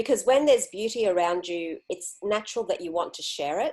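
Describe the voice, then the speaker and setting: Here is a woman with an Australian accent. Her intonation is lively. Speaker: interviewee, solo traveler. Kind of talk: interview.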